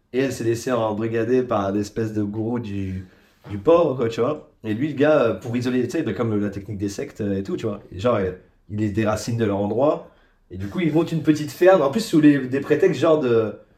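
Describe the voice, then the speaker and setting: A man talks at a fairly quick pace with lively intonation, and audible room echo surrounds his voice. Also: medium pitch for a man. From Ardennes, north-eastern France. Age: 30s. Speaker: podcast guest. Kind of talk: casual chat.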